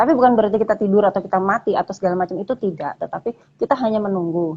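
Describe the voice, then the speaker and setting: At a very fast pace, a woman of medium pitch speaks with a dark, mellow tone and ordinary pitch variation in a dry, close sound with no echo. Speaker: dancer and lecturer. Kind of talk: casual interview chat. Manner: hesitant, many fillers.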